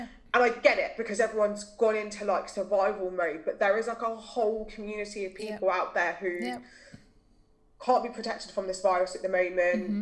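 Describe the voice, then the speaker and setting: A woman's medium-pitched voice with a British accent, at a very fast pace with ordinary pitch variation. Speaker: mental health blogger. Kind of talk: casual conversational interview.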